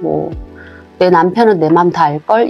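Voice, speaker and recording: A woman talks at a fairly slow pace as music sounds in the background. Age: 40s. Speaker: homemaker and mother. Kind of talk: casual talk to camera. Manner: soft-spoken, reflective.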